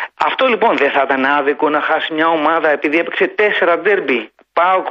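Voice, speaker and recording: The delivery has lively intonation and a moderate pace. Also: man. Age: 50s. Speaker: sports radio caller, engineer. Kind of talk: phone-in football discussion. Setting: phone call.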